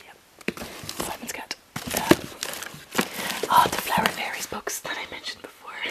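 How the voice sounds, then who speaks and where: A woman whispers with long, frequent pauses and big swings in loudness over noticeable background noise. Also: moderate pace. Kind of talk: ASMR room tour. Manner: whispered.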